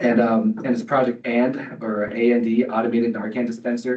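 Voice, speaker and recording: A man with an American accent talks at a medium pitch in a monotone, flat intonation. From Colorado, US. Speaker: public commenter, entrepreneur in recovery. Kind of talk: public comment at council meeting. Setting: meeting room, no microphone. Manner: loud; hesitant, many fillers. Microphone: no microphone.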